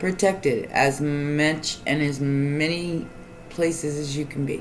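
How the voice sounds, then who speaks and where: Fairly even intonation runs over music in the background. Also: woman. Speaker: tarot reader and astrologer. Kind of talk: tarot reading to camera.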